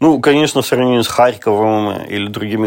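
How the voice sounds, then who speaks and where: Speaking at a medium pitch with ordinary pitch variation, a man has an ordinary speaking voice. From Russia. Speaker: journalist. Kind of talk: casual chat.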